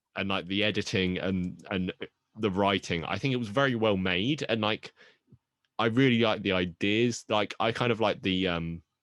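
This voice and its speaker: Moderate pace in a British accent. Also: man, fairly low pitch for a man, ordinary pitch variation, quiet background. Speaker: podcast co-host. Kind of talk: casual chat.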